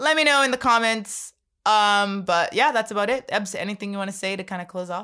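An animated, bright, sharp tone at a fairly quick pace with ordinary pitch variation, in a very clean recording with a silent background. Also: woman, medium pitch for a woman. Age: 20s. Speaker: podcast host. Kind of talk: casual chat.

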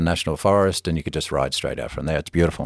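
The sound is dry and close with no echo as a man with an Australian accent speaks at a very fast pace. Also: very clean recording, silent background. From Melbourne, Australia. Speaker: spa company businessman. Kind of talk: casual interview chat. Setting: in person, Bozeman. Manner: conversational, relaxed.

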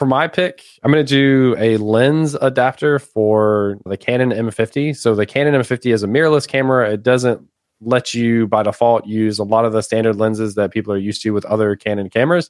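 Delivered at a fairly quick pace with hardly any pauses, an unremarkable speaking voice shows ordinary pitch variation in a very clean recording with a silent background. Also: man, medium pitch for a man. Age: 30s. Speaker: podcast host, technical content creator. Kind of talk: casual chat.

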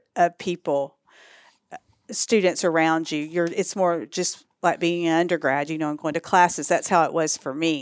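Her fairly low pitch, ordinary pitch variation and moderate pace come through in an American accent, as the woman is heard in a dry, close sound with no echo on a very clean recording with a silent background. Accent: Texan Southern, varies in strength. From East Texas. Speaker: social work professor and school director. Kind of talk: casual interview conversation.

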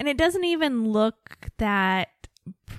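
With very wide pitch swings, a woman talks at a fairly slow pace in a dry, close recording with no echo. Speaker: book club co-host. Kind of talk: casual chat, with audiobook reading aloud. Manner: animated, dramatic reading; laughs often.

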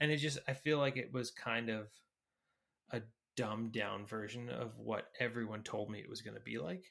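A man talks with vocal fry. His pitch sits in the medium range. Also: ordinary pitch variation, moderate pace. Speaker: podcast co-host. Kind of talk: casual chat.

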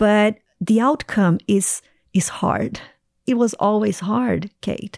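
A woman's medium-pitched voice with lively intonation at a very slow pace, dry and close with no echo, on a very clean recording with a silent background. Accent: Portuguese. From Brazil. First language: Portuguese. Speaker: ministry leader. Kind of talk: interview testimony.

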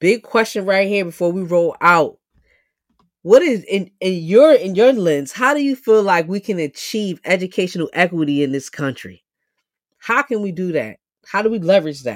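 A woman with a New York accent, medium pitch, very wide pitch swings, an animated tone and a moderate pace, in a very clean recording with a silent background. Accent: New York City. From New York City, South Bronx. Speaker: podcast host, educator activist. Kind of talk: casual interview.

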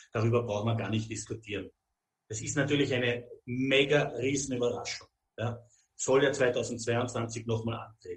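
A man talks at a moderate pace with a medium pitch. His voice is somewhat breathy and his intonation monotone and flat. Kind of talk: interview.

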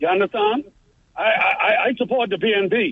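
This is a man speaking. His pitch is high. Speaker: caller.

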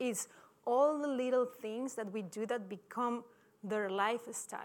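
Speaking at a fairly slow pace with a non-native accent, a woman keeps her fairly high voice in fairly even intonation. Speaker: sports scientist, performance director. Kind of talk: conference talk. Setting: stage with audience. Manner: halting.

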